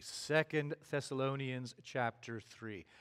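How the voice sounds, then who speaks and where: A man speaks at a very slow pace with ordinary pitch variation, in a very clean recording with a silent background. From Canada. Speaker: preacher. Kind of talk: sermon. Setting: church.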